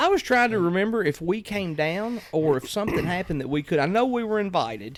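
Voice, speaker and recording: With a Kentucky accent, a man speaks very fast at a high pitch with lively intonation and hardly any pauses, over noticeable background noise. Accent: southern US (Kentucky). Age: 40s. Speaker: podcast host. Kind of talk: casual chat.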